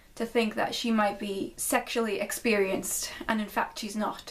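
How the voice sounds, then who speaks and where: A woman talks at a moderate pace with noticeable background noise around her. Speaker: video essayist vlogger. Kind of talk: analytical video essay monologue.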